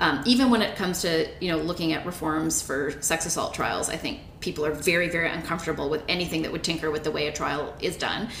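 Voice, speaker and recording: A woman's fairly low voice with a Canadian accent, very fast and with hardly any pauses, ordinary pitch variation, and noticeable background noise. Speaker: law professor, podcast co-host. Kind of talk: casual legal discussion.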